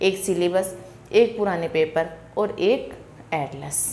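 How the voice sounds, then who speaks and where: Fairly even intonation comes through over noticeable background noise and audible room echo. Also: woman. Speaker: online exam-prep teacher. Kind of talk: lecture.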